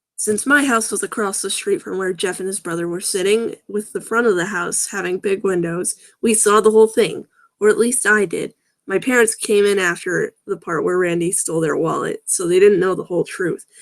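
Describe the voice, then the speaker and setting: In a very clean recording with a silent background, a woman uses a raspy, put-on character voice at a medium pitch and a fairly quick pace. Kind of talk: live-stream story reading with sarcastic commentary. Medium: read story. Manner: casual, wry, frequently interrupting himself.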